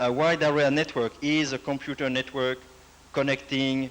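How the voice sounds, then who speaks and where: This is a man with a medium pitch. His intonation stays monotone and flat. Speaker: computer network project director. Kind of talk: lecture. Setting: university presentation with audience. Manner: formal, some hesitation.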